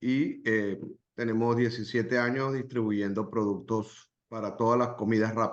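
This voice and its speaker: The speech has fairly even intonation, and room echo is audible. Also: man, medium pitch for a man, fairly quick pace. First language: Spanish. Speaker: small business owner. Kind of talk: webinar self-introduction.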